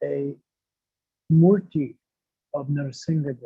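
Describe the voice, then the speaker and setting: A somewhat breathy man's voice, dark and mellow, fairly high in pitch, at a very slow pace with ordinary pitch variation. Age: 70s. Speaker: spiritual speaker. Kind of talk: religious discourse. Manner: halting.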